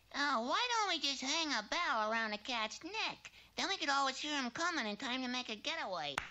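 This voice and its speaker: A cartoonish character voice talks at a fairly quick pace. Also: female-sounding voice, high pitch for a woman. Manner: meek, comically resigned.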